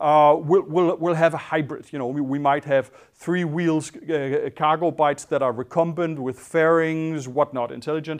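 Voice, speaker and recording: A man with a Danish accent at a moderate pace, with fairly even intonation and hardly any pauses, against a quiet background. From Denmark. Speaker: designer and entrepreneur. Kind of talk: panel talk. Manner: halting. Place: hall. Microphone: lapel.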